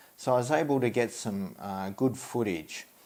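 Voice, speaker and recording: A man speaks in an Australian accent. His intonation is lively. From Australia (Tasmania). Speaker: stock photographer and video creator. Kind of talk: tutorial. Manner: hesitant, many fillers.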